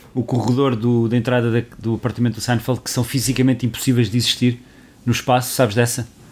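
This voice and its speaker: A man's very fast, medium-pitched speech in a monotone, flat intonation on a very clean recording with a silent background. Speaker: podcast co-host. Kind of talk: casual chat.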